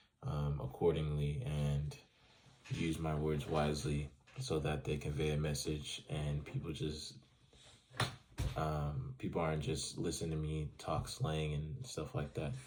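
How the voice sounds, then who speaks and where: A man with a very deep, low voice speaks at a fairly slow pace with ordinary pitch variation, and audible room echo surrounds him. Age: 20s. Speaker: student. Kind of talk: reading questions and answering them, casual monologue. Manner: casual, many fillers.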